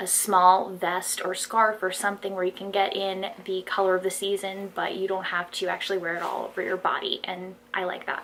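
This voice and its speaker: Over noticeable background noise, a woman speaks at a medium pitch and a moderate pace, flat and monotone, with hardly any pauses. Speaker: fashion haul vlogger. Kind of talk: casual haul video monologue. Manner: shaky voice. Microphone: no external microphone, built-in mic.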